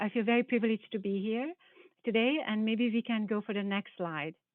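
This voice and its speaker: Speaking with a Hungarian accent, a woman keeps a fairly quick pace. Her pitch is fairly high, with ordinary variation. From Hungary. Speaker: biology professor. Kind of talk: panel presentation.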